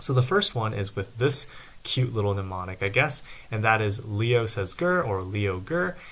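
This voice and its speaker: Soft-spoken and at a moderate pace, a man with a fairly low pitch uses lively intonation in a very clean recording with a silent background. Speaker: student tutor. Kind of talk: tutorial.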